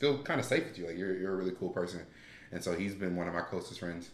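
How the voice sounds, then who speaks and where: A man talks at a very fast pace in a very deep, low voice. His tone is bright and sharp. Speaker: podcast guest. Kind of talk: casual chat. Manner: stutter.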